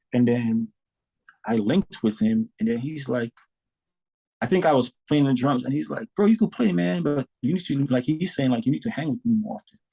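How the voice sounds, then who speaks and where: With a dark, mellow tone and medium pitch, a man speaks at a moderate pace with very wide pitch swings in a dry, close sound with no echo. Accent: Saint Lucian. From Saint Lucia. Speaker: drummer. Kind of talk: podcast interview. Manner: animated.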